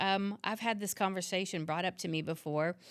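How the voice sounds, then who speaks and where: On a very clean recording with a silent background, a woman with medium pitch and a normal speaking voice talks at a moderate pace with fairly even intonation. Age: 50s. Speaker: fitness trainer and yoga instructor. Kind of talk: podcast interview.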